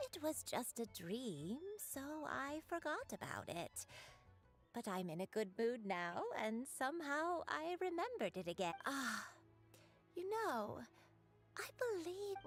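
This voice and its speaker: Using a put-on character voice, a woman talks at a high pitch with very wide pitch swings, a fairly slow pace and long, frequent pauses. Clear music plays behind her. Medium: video game. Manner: rambling, trailing off.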